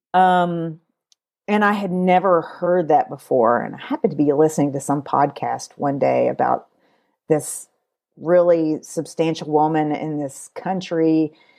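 A woman with a Kentucky accent speaks fairly slowly in a very deep, low voice with a dark, mellow tone and ordinary pitch variation. The recording is very clean, with a silent background. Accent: Kentucky Southern American. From Kentucky, US. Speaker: podcaster and educational television producer. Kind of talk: casual interview.

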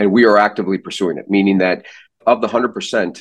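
Fairly low in pitch, a man with an American accent speaks in a plain, everyday voice at a fairly quick pace. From US Midwest, St. Louis. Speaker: neurosurgeon. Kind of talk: interview. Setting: podcast.

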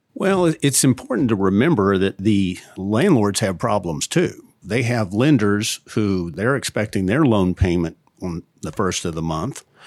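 Speaking at a fairly low pitch, a man has an ordinary speaking voice and lively intonation at a fairly slow pace with hardly any pauses. The recording is very clean, with a silent background. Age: 50s. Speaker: real estate lawyer. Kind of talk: interview.

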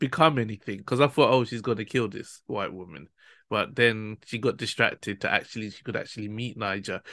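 A bright, sharp tone at a fairly quick pace, with big swings in loudness against a quiet background. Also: man. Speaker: podcast host. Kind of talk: casual chat.

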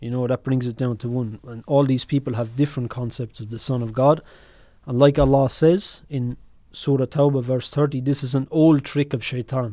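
With an Irish accent, a man speaks at a medium pitch with fairly even intonation. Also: moderate pace. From Ireland. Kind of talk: casual chat.

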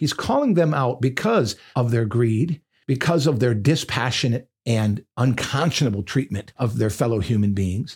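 A man speaks at a medium pitch and moderate pace, somewhat breathy, with ordinary pitch variation, very even loudness and hardly any pauses. The recording is very clean and the background silent. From Michigan. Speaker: pastor. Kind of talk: podcast sermon monologue.

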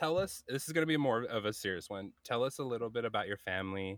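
With an American accent and an ordinary speaking voice, the speaker moves at a fairly quick pace with ordinary pitch variation, on a very clean recording with a silent background and a dry, close sound with no echo. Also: man. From US, multiple places (Carolinas, Montana, California). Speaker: podcast host and gamer. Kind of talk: casual chat.

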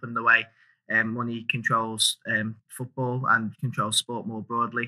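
A man speaks with a Liverpool accent in a bright, sharp tone. The sound is dry and close, with no echo. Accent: Scouse (Liverpool). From Liverpool, England. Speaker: campaigner for sustainable sport sponsorship. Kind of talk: interview conversation. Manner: animated; hesitant, many fillers and repetitions. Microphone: microphone issues.

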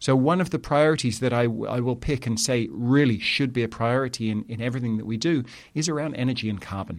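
Very fast speech comes from a man with a medium pitch and ordinary pitch variation. The recording is very clean, with a silent background. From Southeast England. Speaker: sustainability education executive. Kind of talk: interview. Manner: hesitant with frequent fillers.

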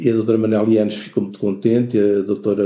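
A man's dark, mellow voice at a medium pitch. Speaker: art gallery owner and former teacher. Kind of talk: interview. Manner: halting, with many repetitions and fillers.

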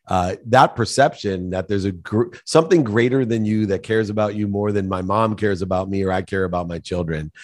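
A man uses a normal speaking voice, fairly low in pitch with ordinary pitch variation, at a fairly quick pace over a quiet background. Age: 50s. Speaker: business executive and author. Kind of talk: interview.

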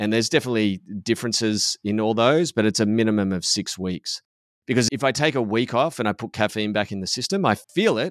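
Very fast and medium-pitched, a man talks with an Australian accent and ordinary pitch variation. The recording is very clean, with a silent background and a dry, close sound free of echo. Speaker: podcast host and men's coach. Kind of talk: casual chat. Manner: subdued.

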